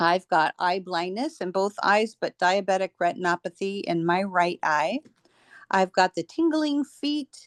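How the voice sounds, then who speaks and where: This is a plain, everyday voice. A woman talks at a moderate pace, her medium pitch showing ordinary pitch variation. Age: 60s. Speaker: person sharing product testimonial. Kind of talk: testimony.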